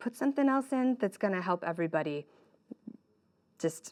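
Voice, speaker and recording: The speaker is a woman. Her recording is very clean, with a silent background. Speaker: volunteer worship leader and musician. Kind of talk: conference breakout session talk. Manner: fast.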